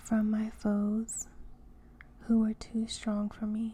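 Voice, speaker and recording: Soft-spoken and somewhat breathy, a woman with a fairly high pitch and a gentle tone speaks very slowly in a monotone, flat intonation. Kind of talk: soft-spoken ASMR Bible reading. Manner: soft-spoken, gentle.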